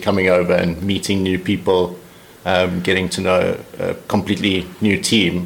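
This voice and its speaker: Noticeable background noise sits behind a man with a very deep, low pitch. His intonation is monotone and flat. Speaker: cricketer, overseas club player. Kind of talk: casual interview.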